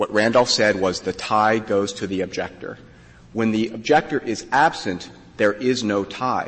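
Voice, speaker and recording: Moderate pace, a normal speaking voice and ordinary pitch variation from a man. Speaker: lawyer arguing before a court. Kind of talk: oral argument. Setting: courtroom.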